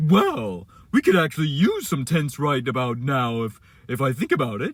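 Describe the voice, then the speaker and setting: A man puts on a character voice with a fairly high pitch. He talks at a moderate pace with lively intonation. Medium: read story.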